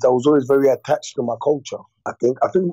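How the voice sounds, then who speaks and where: A man talks at a fairly quick pace. He speaks with a London accent. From West London, England (born DR Congo, moved at eight). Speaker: comedian. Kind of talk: casual interview. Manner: animated, many fillers and repetitions.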